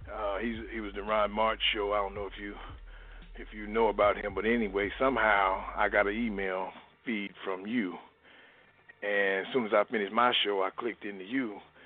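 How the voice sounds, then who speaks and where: Monotone, flat intonation at a moderate pace. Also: man, fairly low pitch for a man. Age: 60s. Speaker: caller. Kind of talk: phone-in conversation.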